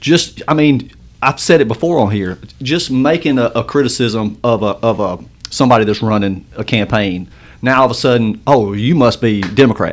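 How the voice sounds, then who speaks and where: A man with an American accent talks at a moderate pace in a medium pitch with ordinary pitch variation, a normal speaking voice. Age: 40s. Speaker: podcast co-host. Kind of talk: casual interview chat.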